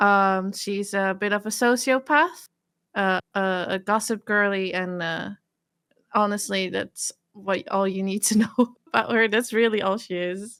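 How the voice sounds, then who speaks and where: A woman at medium pitch with fairly even intonation and a fairly slow pace. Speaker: VTuber and game player. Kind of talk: casual chat. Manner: soft-spoken; low energy. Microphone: too quiet, input maxed.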